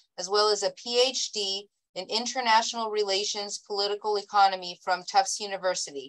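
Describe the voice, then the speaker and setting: Against a quiet background, a woman is speaking. She talks at a moderate pace. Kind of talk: reading a bio statement in a meeting. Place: home room. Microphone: video call.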